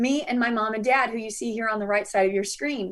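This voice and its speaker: A woman speaks in a high voice with an American accent. Her tone is animated and her intonation lively. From US South. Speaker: business consultant and conference speaker. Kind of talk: workshop presentation. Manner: fast.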